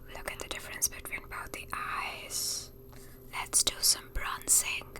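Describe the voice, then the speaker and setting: A woman is whispering. Noticeable background noise is present. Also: fairly slow pace, big swings in loudness. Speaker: beauty vlogger. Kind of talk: ASMR makeup tutorial. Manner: soft-spoken.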